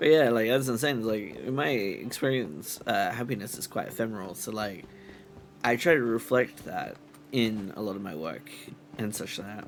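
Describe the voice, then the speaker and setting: There is noticeable background noise and audible room echo as a man speaks at a moderate pace with lively intonation and big swings in loudness. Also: medium pitch for a man. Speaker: streamer. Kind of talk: casual chat. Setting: live stream.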